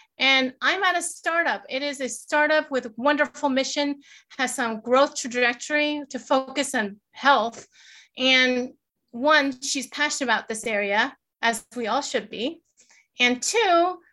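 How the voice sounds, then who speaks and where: Raising and projecting her high voice, a woman with a bright, sharp tone speaks at a fairly slow pace with ordinary pitch variation. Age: 40s. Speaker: career coach. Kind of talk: interview at live event.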